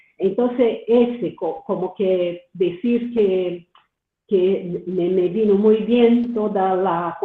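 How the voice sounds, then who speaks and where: A very slow, medium-pitched woman's voice with fairly even intonation. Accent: Portuguese. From Brazil. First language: Portuguese (speaking Spanish). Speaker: doctoral student, audience participant. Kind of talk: Q&A comment in webinar. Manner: halting, many fillers and repetitions.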